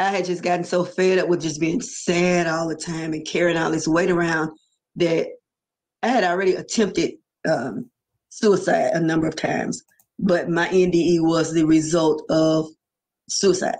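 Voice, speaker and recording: A woman speaks at a fairly low pitch with fairly even intonation. It is a plain, everyday voice. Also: moderate pace. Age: 60s. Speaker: near-death experiencer. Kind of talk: testimony.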